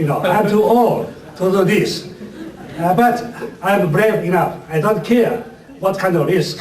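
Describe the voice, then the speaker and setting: Speech moves at a fairly slow pace with ordinary pitch variation, amid audible room echo and noticeable background noise. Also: man. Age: 70s. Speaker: civil rights organization secretary. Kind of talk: public speech.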